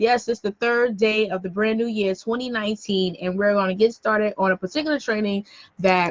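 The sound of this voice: A woman with an American accent, fairly high in pitch and fairly bright in tone, at a moderate pace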